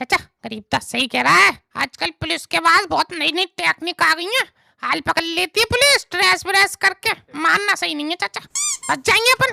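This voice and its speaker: A woman uses a cartoonish character voice at an extremely high pitch. She talks at a moderate pace. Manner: excitable, stammers when startled.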